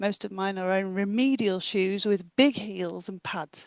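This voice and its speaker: A woman talks in a plain, everyday voice of medium pitch with fairly even intonation. The sound is dry and close with no echo, over a quiet background. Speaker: endurance rider, webinar presenter. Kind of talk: webinar presentation. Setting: video call.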